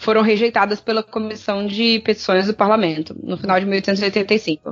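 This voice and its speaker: At a moderate pace and medium pitch, a woman speaks in an unremarkable speaking voice. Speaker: podcast co-host. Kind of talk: reading research notes aloud; casual chat.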